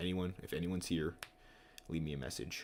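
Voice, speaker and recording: Soft-spoken and very deep and low in pitch, a man talks with vocal fry. His pace is very fast, with ordinary pitch variation. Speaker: streamer. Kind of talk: casual live stream commentary. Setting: home live stream. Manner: quiet, soft-spoken.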